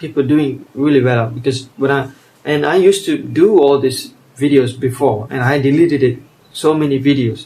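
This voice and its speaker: His voice is somewhat breathy with a dark, mellow tone. The man sits at fairly high pitch and talks at a moderate pace. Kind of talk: casual monologue. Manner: halting.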